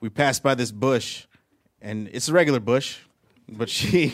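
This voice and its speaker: A man talks in a bright, sharp tone. His pace is moderate and his intonation lively. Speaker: comedian. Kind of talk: stand-up. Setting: stage with audience.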